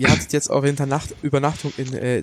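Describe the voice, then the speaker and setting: Male speech at a moderate pace, noticeable noise behind it. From Germany. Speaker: podcast host. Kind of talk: casual chat.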